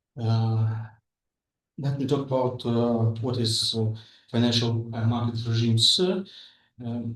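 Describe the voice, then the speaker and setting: A man's medium-pitched, somewhat breathy voice at a fairly slow pace, with fairly even intonation and long, frequent pauses. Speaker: master's student presenter. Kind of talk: academic presentation. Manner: halting, many fillers.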